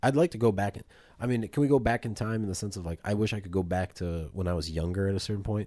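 On a very clean recording with a silent background, a man talks at a very fast pace in a dark, mellow tone, his fairly low pitch showing ordinary variation. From Poland. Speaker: podcast co-host. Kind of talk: casual chat.

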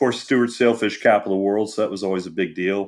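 A man with an American accent in a plain, everyday voice, fairly low in pitch, with fairly even intonation, on a very clean recording with a silent background. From Florida, Treasure Coast (Jensen Beach). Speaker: journalist. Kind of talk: interview.

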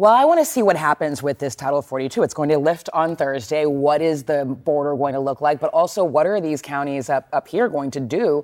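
Someone speaks with an American accent at a fairly quick pace. The recording is very clean, with a silent background. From Texas. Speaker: news correspondent. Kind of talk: news discussion.

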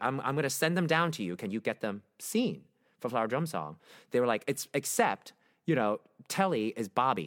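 The voice has vocal fry and very wide pitch swings at a moderate pace. The recording is very clean, with a silent background and a dry, close sound with no echo. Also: man, medium pitch for a man. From Brooklyn, New York. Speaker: Broadway actor and singer. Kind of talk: casual interview chat.

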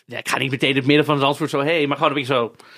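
A man speaks with a bright, sharp tone at a fairly high pitch. The recording is very clean, with a silent background. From Netherlands, Amsterdam. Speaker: podcast host and influencer. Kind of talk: casual chat. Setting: studio.

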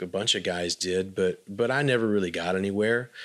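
A man at a moderate pace, fairly low in pitch, with fairly even intonation, on a very clean recording with a silent background. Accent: Texan. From West Texas, Abilene. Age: 40s. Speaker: musician. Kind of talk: interview.

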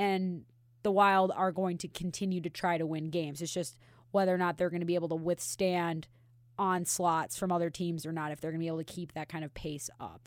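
On a very clean recording with a silent background, a woman speaks fairly quickly in a fairly low pitch. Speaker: podcast co-host. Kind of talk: casual banter, comedic hockey podcast. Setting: studio. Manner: energetic, teasing, sarcastic.

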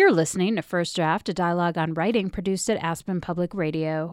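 In a very clean recording with a silent background, a woman with a plain, everyday voice talks at a fairly low pitch with fairly even intonation. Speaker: radio host. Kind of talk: radio interview.

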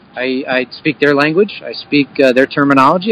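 A man with a Philadelphia accent talks at a moderate pace in a fairly high voice. The sound is dry and close with no echo, though background noise is noticeable. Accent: Philadelphia-area American. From Bucks County, Pennsylvania (Philadelphia area). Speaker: baseball hitting coach and former pro player. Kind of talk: interview.

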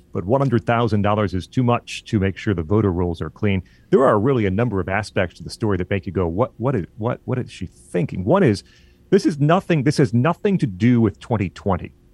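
With an unremarkable speaking voice and an American accent, a man talks at a fairly quick pace in a fairly low pitch with lively intonation, recorded dry and close with no echo against a quiet background. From Illinois. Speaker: college radio station manager and podcast host. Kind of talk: casual political talk show discussion.

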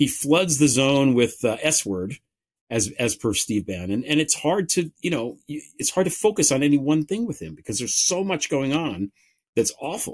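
A man with an American accent speaks at a moderate pace in a fairly high pitch, his voice swinging very widely in pitch and showing vocal fry, on a very clean recording with a silent background. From United States. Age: 50s. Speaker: author and political podcaster. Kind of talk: interview on political talk show.

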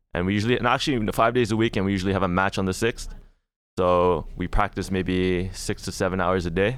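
A man with a very deep, low voice, very fast delivery and fairly even intonation, on a very clean recording with a silent background. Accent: Toronto. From Canada, Toronto. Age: 20s. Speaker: professional esports player. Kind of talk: casual chat.

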